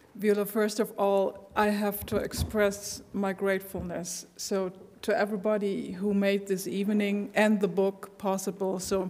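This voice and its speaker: With hardly any pauses, a woman speaks fairly slowly in a flat, monotone intonation. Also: medium pitch for a woman. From Germany. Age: 60s. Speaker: sociologist. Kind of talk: panel discussion.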